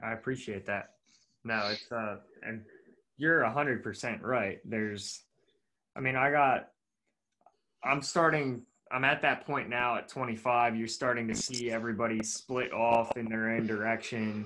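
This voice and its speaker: At a fairly slow pace with long, frequent pauses, a man with an American accent speaks in a medium pitch, his tone bright and sharp and his intonation fairly even. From Pennsylvania, Lancaster County. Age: 20s. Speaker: podcast host. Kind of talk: casual interview chat. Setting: video call.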